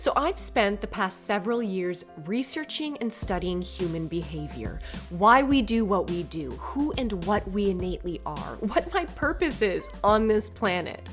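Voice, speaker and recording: Music plays behind a woman who talks at a moderate speed. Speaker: podcast host; actor, yoga instructor. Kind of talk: podcast intro.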